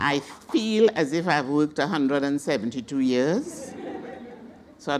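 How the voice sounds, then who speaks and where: Over crowd noise in the background, a woman talks at a moderate pace with a very deep, low pitch and lively intonation. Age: 70s. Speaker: veteran social worker, panelist. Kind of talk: panel presentation. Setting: symposium panel.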